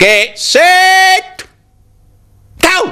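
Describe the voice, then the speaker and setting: Someone shouts in a put-on character voice at an extremely high pitch. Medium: read story. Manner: shouting, proud.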